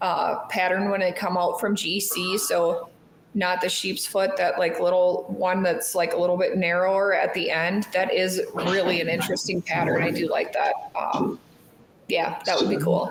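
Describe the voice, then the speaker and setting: A woman mumbles at a moderate pace with fairly even intonation and very even loudness. Audible room echo and noticeable background noise surround her. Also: medium pitch for a woman. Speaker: knife shop co-host. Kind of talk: live stream casual chat. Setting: live stream. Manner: mumbling.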